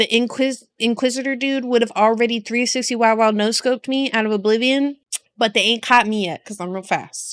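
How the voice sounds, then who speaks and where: A woman's plain, everyday voice, fairly high in pitch, with fairly even intonation. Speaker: vtuber reacting to game lore. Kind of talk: casual livestream chat.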